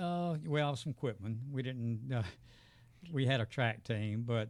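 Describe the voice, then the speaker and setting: In a very clean recording with a silent background, a man with a Southern US accent speaks at a moderate pace with ordinary pitch variation. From US South, south Georgia. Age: 70s. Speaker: retired educator and veteran runner. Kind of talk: casual interview. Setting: studio.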